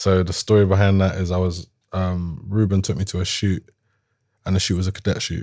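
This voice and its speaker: A man with a South London accent speaks in a very deep, low voice with a dark, mellow tone. His delivery is fairly quick and monotone, in a very clean recording with a silent background. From London, Croydon. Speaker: rapper. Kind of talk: casual chat.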